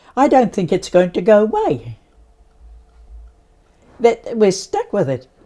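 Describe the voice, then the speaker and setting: A woman with a medium pitch speaks in a dark, mellow tone with vocal fry and lively intonation. Her pace is fairly slow, with long, frequent pauses. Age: 80s+. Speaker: Māori warden. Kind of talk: interview answer. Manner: blunt, straight-talking.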